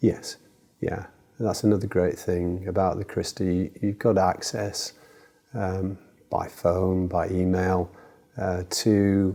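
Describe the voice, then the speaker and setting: A man with a very deep, low pitch speaks at a very slow pace in a flat monotone, leaving long, frequent pauses, and his tone is dark and mellow. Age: 70s. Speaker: cancer patient on a clinical trial. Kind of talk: interview. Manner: halting.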